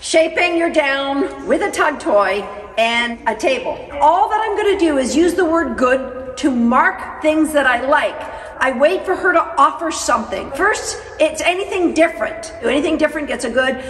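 A woman speaks in a high pitch with lively intonation. Her moderate pace is heard through audible room echo. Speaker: dog trainer. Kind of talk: tutorial. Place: hall.

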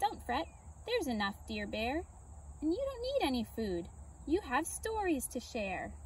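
A squeaky, put-on character voice moves at a moderate pace with long, frequent pauses. Clear background noise can be heard. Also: female-sounding voice. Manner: reassuring.

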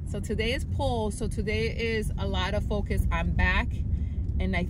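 Female speech under heavy background noise. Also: dry sound with no echo. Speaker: fitness vlogger. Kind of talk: casual vlog chat. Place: car.

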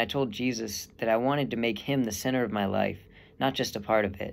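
The speaker has an American accent and a fairly quick pace. Pitch varies in an ordinary way. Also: man. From Texas. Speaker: seminarian; young man discerning priesthood. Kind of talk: testimony. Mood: calm, sincere, reflective. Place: home room. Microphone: earbuds.

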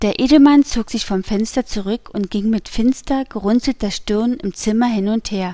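A woman speaks at a fairly slow pace in a dark, mellow tone, her fairly high pitch moving with ordinary variation. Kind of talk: audiobook reading.

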